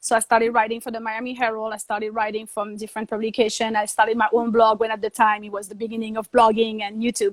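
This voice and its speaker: A woman with a French accent speaks very fast and with hardly any pauses in a fairly high, monotone, flat voice that shows big swings in loudness. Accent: French accent, always there. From Guadeloupe (French Caribbean). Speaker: TV host and journalist. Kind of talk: interview. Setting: live video webinar.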